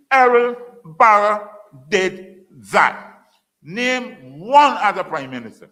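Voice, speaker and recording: A man projects a raised, bright, sharp voice with a high pitch and lively intonation. Audible room echo surrounds him. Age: 70s. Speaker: former politician and lecturer. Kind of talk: public lecture. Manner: animated.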